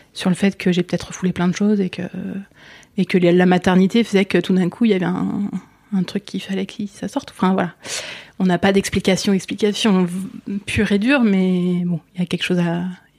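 At a fairly quick pace, a woman with a medium pitch and fairly even intonation pauses long and often, recorded with a dry, close sound and no echo. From France, Essonne (Paris region). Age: 40s. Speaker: mother sharing her cancer story. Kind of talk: personal testimony interview. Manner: halting, many fillers and repetitions.

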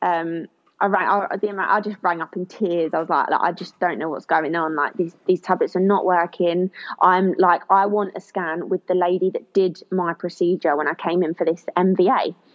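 With a southern English accent, a woman speaks at a moderate pace and medium pitch in a monotone, flat intonation. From southern England, Kent. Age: 20s. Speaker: former track athlete, eyelash technician. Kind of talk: personal testimony in interview.

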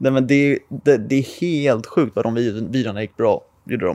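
A man talks at medium pitch with a dark, mellow tone and ordinary pitch variation. His pace is fairly quick, and the background is quiet. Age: 20s. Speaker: car YouTuber. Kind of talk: casual chat.

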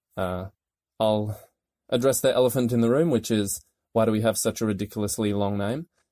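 A man with an Australian accent speaks with fairly even intonation and long, frequent pauses. The recording is very clean, with a silent background. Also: medium pitch for a man. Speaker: investigative journalist. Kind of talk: interview.

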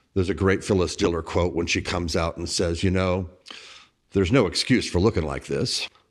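Speaking at a fairly quick pace, a man uses a very deep, low pitch with ordinary variation in a very clean recording with a silent background. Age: 50s. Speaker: blogger, author and HIV activist. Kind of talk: candid interview about personal life. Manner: halting, with frequent restarts.

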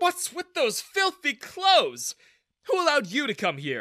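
On a very clean, dry, close recording with no echo and a silent background, a man in a put-on character voice speaks slowly at an extremely high pitch, with a bright, sharp tone and very wide pitch swings.

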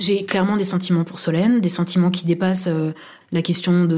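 Speech comes fairly quickly in a flat, monotone intonation. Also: woman. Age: 30s. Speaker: university administrator. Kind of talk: personal testimony. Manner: halting, many fillers.

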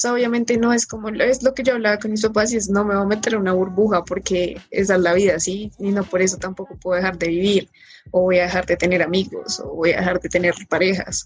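Over music in the background, a woman talks at a very fast pace with hardly any pauses. Her pitch is medium and her intonation fairly even. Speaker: mechanical engineering student. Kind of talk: casual chat.

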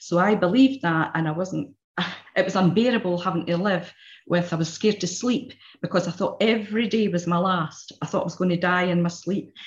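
At a fairly quick pace, a woman speaks at a medium pitch, somewhat breathy, with ordinary pitch variation. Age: 60s. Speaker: therapy client. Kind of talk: testimony. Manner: halting.

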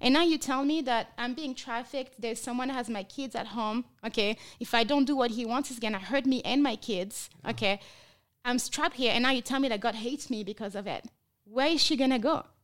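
A woman with a French accent speaks fairly quickly at a high pitch with ordinary pitch variation, on a very clean recording with a silent background. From France. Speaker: trafficking survivor and nonprofit founder. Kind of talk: testimony.

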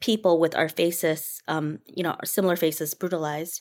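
A woman with an American accent talks at a moderate pace in a normal speaking voice. The recording is very clean, with a silent background. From Minnesota, US. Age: 40s. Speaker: writer and performer. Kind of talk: casual chat.

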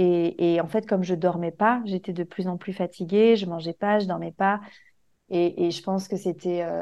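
Against a quiet background, a woman speaks at a moderate pace and medium pitch in a flat, monotone way. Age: 30s. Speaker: mother sharing birth story. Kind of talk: testimony. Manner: halting.

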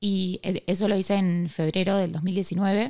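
A woman's medium-pitched voice with a Rioplatense accent. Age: 20s. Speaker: cancer survivor and entrepreneur. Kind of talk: casual interview.

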